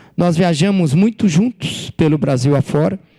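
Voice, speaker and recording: The man's voice has a dark, mellow tone. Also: dry, close sound with no echo. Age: 60s. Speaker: writer and former journalist. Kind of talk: author talk to students.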